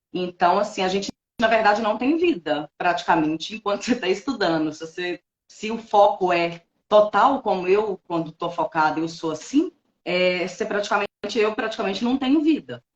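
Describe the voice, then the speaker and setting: A woman with a plain, everyday voice, medium pitch, lively intonation and a moderate pace. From Minas Gerais, Brazil. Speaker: notary registrar, former lawyer. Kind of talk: interview testimony. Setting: online live stream.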